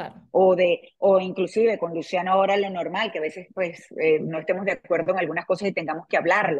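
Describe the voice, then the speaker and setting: A woman with a plain, everyday voice talks at a fairly quick pace with hardly any pauses, at a medium pitch and with fairly even intonation. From Venezuela. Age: 40s. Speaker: TV presenter and author. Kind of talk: interview. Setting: video call.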